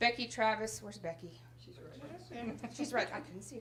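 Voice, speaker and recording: This woman's voice sits fairly high and carries vocal fry. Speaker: adult education center director. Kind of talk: graduation ceremony speech. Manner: loud; animated.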